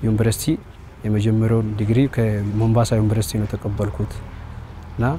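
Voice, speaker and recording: A man speaks with fairly low pitch and monotone, flat intonation. The sound is dry with no echo, with light background noise. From Kenya (Marsabit); Kenya. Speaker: soldier, former medical doctor. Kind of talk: interview testimony. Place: open country.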